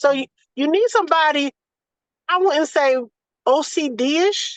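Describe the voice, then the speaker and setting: Her high pitch, lively intonation and animated tone come through as a woman with an American accent speaks at a moderate pace in a dry, close sound with no echo. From US South. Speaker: doula. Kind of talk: casual chat. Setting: video call.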